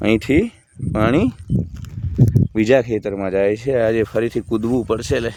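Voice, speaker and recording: Noticeable background noise runs through the recording. The man's voice sits at a medium pitch. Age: 40s. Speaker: spiritual YouTuber. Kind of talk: monologue to camera. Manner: animated.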